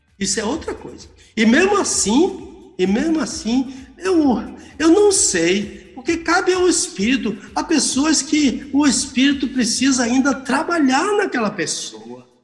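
Extremely high in pitch, a man talks at a fairly slow pace with very wide pitch swings. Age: 70s. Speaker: pastor and theology professor. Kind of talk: radio Bible teaching.

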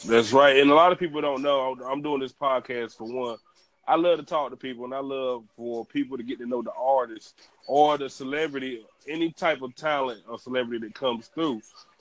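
A man with an ordinary speaking voice talks at a medium pitch and a fairly quick pace. His intonation is fairly even, with big swings in loudness. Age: 30s. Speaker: podcast host. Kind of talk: interview.

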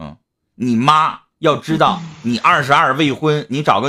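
A man talks at a fairly high pitch with vocal fry. His tone is bright and sharp. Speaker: live-stream host. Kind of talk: casual live-stream advice talk. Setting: online live stream. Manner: blunt, talkative.

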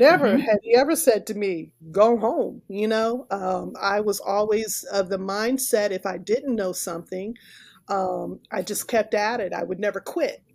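The woman's pitch rises and falls in an ordinary way. Her speed is moderate. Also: medium pitch for a woman. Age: 50s. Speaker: podcast host. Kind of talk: casual interview. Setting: video call.

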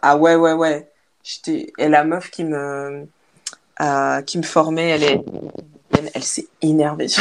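A woman with a very deep, low pitch speaks at a very slow pace in a monotone, flat intonation, leaving long, frequent pauses. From Belgium. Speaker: content creator. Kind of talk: casual chat. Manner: halting.

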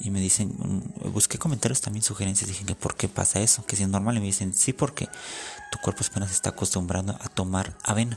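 Over noticeable background noise, a man speaks at a moderate pace. His pitch is fairly low and his intonation fairly even. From Mexico. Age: 20s. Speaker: podcaster. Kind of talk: casual monologue.

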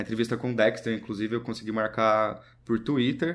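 A man rattles along at a very fast pace, his voice sitting at a medium pitch. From Brazil, interior of São Paulo state (Serra Negra). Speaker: documentary filmmaker. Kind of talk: casual interview.

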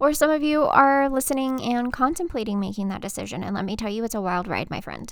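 An American-accented woman talks at a very fast pace in an animated tone, with ordinary pitch variation. The recording is very clean, with a silent background. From Texas. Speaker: podcast host, military veteran, notary business owner. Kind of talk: casual personal monologue. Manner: animated, laughing.

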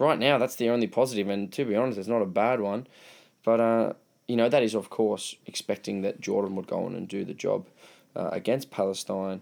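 A man with an Australian accent and fairly even intonation, on a very clean recording with a silent background. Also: medium pitch for a man, fairly quick pace. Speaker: football podcast host. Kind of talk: casual chat.

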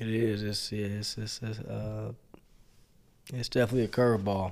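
A man with an American accent speaks at a fairly low pitch. His speech has long, frequent pauses. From Gary, Indiana. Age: 20s. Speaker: guest. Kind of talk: casual chat.

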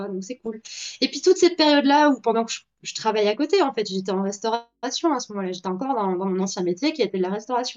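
Her words come out very fast. This woman's intonation is lively. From Belgium. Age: 20s. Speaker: artist and TikTok creator. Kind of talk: casual interview. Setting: live stream interview.

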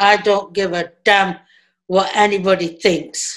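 A woman's medium-pitched voice at a very slow pace, on a very clean recording with a silent background. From England, raised partly in Pakistan. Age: 60s. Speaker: immigration rights campaigner. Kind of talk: interview.

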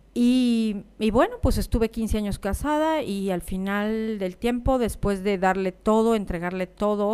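The delivery has a serious tone and a fairly slow pace. Pitch variation is ordinary. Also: woman. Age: 50s. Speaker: life coach and podcast host. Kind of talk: personal monologue. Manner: somewhat serious.

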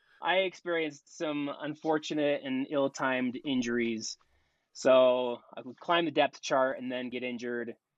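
An ordinary speaking voice with an American accent, fairly even intonation, a moderate pace and big swings in loudness. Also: man, medium pitch for a man. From Utah. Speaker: military officer and amateur triathlete. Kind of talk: interview.

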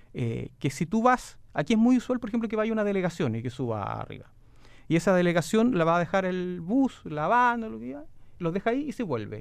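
A man speaks in a high voice with very wide pitch swings. His pace is fairly quick. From southern Chile, Osorno. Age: 40s. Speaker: provincial governor. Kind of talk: radio interview. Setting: radio studio.

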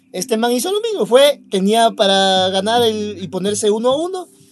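A man with a high-pitched voice speaks at a moderate pace over noticeable background noise. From Ecuador. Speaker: podcast co-host. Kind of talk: casual chat.

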